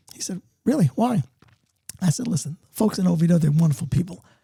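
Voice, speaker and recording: With a New York accent, the speaker talks at a very fast pace in an animated tone. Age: 70s. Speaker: entrepreneur and author. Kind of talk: podcast interview.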